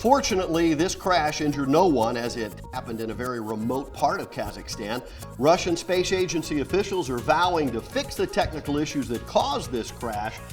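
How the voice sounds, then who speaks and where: Music plays in the background while a man talks at a fairly quick pace. He has an American accent and a fairly high pitch. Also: lively intonation. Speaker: TV news anchor and host. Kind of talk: TV news report.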